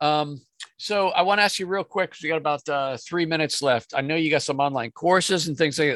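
On a very clean recording with a silent background and a dry, close sound with no echo, a man in a plain, everyday voice talks at a fairly quick pace with ordinary pitch variation. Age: 60s. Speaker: podcast host and business coach. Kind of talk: podcast interview. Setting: on a boat.

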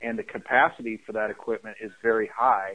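A plain, everyday voice, a man with an American accent speaks at a moderate pace and medium pitch. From US Midwest, Chicago area. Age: 40s. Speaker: Air Force veteran and franchise business founder. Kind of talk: interview.

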